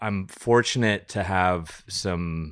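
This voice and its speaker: In a very clean recording with a silent background, a man with an American accent speaks very slowly in a very deep, low pitch. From US West Coast, Napa Valley. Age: 40s. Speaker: winemaker. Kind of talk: casual chat. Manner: hesitant, many fillers and repeated words.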